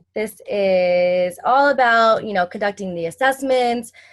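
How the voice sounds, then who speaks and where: Her pitch medium and its variation ordinary, a woman speaks. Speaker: graduate student and teacher presenting her e-portfolio. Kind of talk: class presentation over video call.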